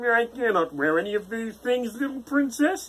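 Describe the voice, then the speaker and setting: The speaker uses a put-on character voice with a fairly high pitch at a moderate pace. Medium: read story. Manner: polite but insistent.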